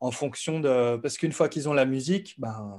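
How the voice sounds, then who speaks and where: A man's voice, with ordinary pitch variation, comes through against a quiet background. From eastern France, Besançon; France. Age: 30s. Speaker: music producer and YouTube educator; YouTube educator. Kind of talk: casual interview. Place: home room. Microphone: studio mic.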